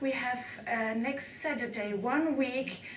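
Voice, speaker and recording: A woman with a non-native accent speaks fairly slowly in a high voice, with audible room echo and noticeable background noise. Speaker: amateur radio operator and conference speaker. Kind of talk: conference talk. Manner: halting.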